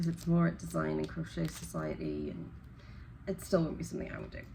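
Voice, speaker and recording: A woman talks at a fairly quick pace, with audible echo from the room around her. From northeast England, Newcastle. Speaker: crochet YouTuber. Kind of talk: casual unboxing chat.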